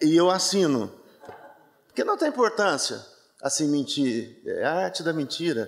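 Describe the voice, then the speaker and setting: A man speaks with a Minas Gerais accent at a fairly slow pace. Long, frequent pauses break up his speech. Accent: Minas Gerais (mineiro) way of speaking. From Brazil, interior of Minas Gerais. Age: 60s. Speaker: theatre director. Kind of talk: interview at a book launch talk. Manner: relaxed, soft drawl; halting, many fillers and repetitions.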